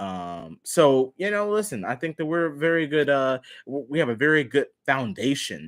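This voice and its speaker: Pitch swings very widely in this very clean recording with a silent background. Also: man. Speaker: sports live streamer. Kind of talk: live stream sports talk. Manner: animated.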